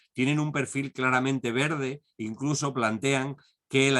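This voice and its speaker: A man speaks at a medium pitch and moderate pace, his intonation fairly even. He has an ordinary speaking voice. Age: 60s. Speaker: conference speaker. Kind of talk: lecture. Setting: online video conference.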